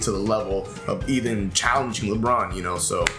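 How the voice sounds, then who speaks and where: A man speaks with music in the background. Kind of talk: casual podcast discussion.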